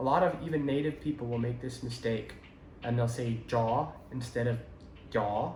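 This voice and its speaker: A man's medium-pitched voice at a moderate pace, with fairly even intonation, noticeable background noise and audible room echo. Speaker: language teacher / learner giving tips. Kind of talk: tutorial. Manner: hesitant, with many fillers.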